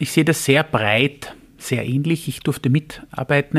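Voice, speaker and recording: The man has an unremarkable speaking voice, medium in pitch with fairly even intonation, in a dry, close sound with no echo. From Austria, Vienna. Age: 40s. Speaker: labour market agency head. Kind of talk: interview.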